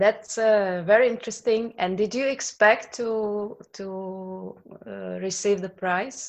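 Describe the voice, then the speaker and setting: A woman's medium-pitched voice with a Slovak accent, very slow pace, fairly even intonation and big swings in loudness. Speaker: translator. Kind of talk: casual interview chat. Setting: video call.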